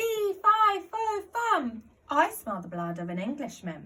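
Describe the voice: Shouting in a raised, projected voice, a woman uses a squeaky, put-on character voice at an extremely high pitch. She speaks at a fairly slow pace.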